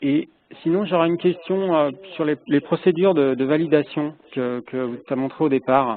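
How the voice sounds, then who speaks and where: Soft-spoken, a man with a fairly high pitch talks at a moderate pace with ordinary pitch variation. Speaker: project stakeholder asking questions. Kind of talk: meeting discussion. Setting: phone call. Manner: speaks softly. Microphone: echo on the phone line.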